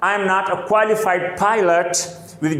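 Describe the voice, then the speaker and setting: The speaker has a non-native accent and fairly even intonation. Audible room echo and noticeable background noise are both present. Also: man. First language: not English. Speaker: English teacher. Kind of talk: tutorial.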